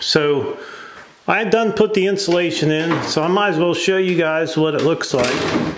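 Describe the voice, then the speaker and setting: Moderately paced speech with audible room echo. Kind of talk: casual vlog chat. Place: home room. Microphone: phone near.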